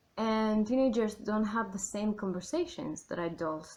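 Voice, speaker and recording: A woman's fairly high voice at a fairly slow pace. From Argentina. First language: Spanish. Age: adult. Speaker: YouTuber and writer. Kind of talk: casual vlog commentary. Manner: chatty, many fillers.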